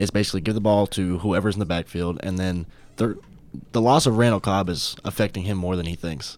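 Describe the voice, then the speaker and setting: At a fairly quick pace, a man talks in a very deep, low pitch with ordinary pitch variation. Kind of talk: casual sports talk chat on a campus radio show. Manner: conversational, thoughtful, relaxed, filler-laden.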